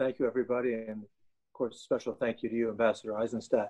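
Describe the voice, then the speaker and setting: The man's voice has a dark, mellow tone. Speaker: event host. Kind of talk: formal introduction. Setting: video call.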